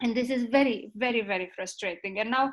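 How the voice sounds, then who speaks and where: A woman with a Romanian accent at a moderate pace. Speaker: ethics expert. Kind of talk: panel discussion. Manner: halting.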